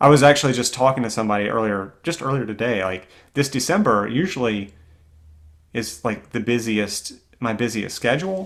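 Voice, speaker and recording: With an American accent and a normal speaking voice, a man talks at a fairly quick pace in a medium pitch with lively intonation, on a very clean recording with a silent background. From US South, Greenville, South Carolina. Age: 30s. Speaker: orchestral clarinetist and teacher. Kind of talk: casual interview conversation.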